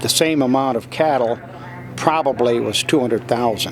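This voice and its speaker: A man speaks with an American accent. Noticeable background noise can be heard. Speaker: auctioneer, second- or third-generation. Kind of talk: interview answer, conversational. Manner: plain-spoken, sad, weary.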